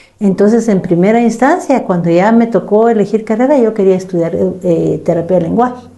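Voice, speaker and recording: A woman at a fairly quick pace with hardly any pauses, medium pitch, ordinary pitch variation and very even loudness, over noticeable background noise. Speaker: psychologist. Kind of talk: casual chat.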